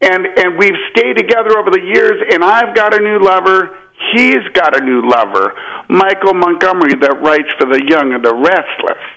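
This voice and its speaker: Noticeable background noise sits behind a man's voice. His pitch is high and his pace moderate. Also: very even loudness. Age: 40s. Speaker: caller. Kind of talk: call-in talk.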